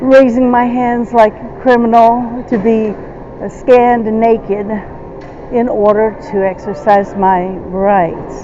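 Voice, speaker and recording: Over noticeable background noise, a woman talks at a very slow pace, her fairly high pitch showing ordinary pitch variation. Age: 60s. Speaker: traveler at airport checkpoint. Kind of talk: confrontational argument. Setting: airport security checkpoint. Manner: halting, many fillers.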